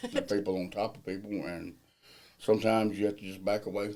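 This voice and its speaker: In a Southern US accent, a man with a fairly low, dark, mellow voice talks very fast in a flat monotone. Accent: US South. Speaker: millwright general foreman. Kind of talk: interview. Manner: casual.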